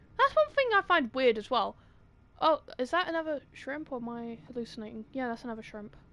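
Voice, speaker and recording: A woman's high, bright, sharp voice with a British accent, animated in tone and at a fairly quick pace. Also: big swings in loudness. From Britain. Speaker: gaming streamer. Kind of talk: live gameplay commentary. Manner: goes quiet during blackouts.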